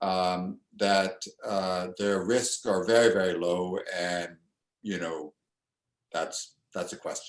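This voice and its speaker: In a very deep, low pitch, a man speaks very slowly with fairly even intonation. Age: 60s. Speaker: immunology professor. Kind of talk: interview. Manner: halting.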